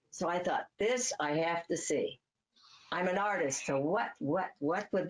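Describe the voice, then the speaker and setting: This woman has a Midwestern accent and a fairly low pitch, with ordinary pitch variation. She talks fairly slowly at a very even loudness. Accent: American Midwest. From US Midwest, Cleveland, Ohio. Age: 80s+. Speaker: author. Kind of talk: interview.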